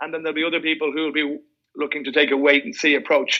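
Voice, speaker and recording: Bright and sharp in tone, a man with an Irish accent talks at a very fast pace in a fairly high pitch. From Ireland, Dublin. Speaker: mortgage broker. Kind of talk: podcast interview.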